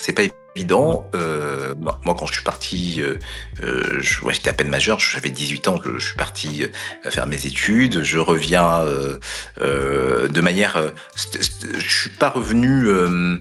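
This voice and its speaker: Noticeable noise fills the background while a man talks very slowly. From Mayotte (Petite-Terre). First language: Kibushi (speaking French). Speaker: consultant, former broadcast journalist. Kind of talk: interview. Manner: hesitant, many fillers.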